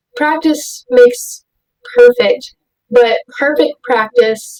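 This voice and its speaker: A woman speaks in a high pitch with an American accent and very wide pitch swings. Her very slow delivery has a dry, close sound with no echo. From Houston, Texas. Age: young. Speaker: artist and clothing designer. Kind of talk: interview. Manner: many fillers (ums).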